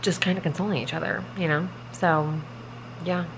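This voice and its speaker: Speaking at a fairly quick pace, a woman with a very deep, low pitch is heard over noticeable background noise. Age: 30s. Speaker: vlogger. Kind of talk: casual vlog talk to camera. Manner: casual, filler-heavy. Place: home room. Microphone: phone near.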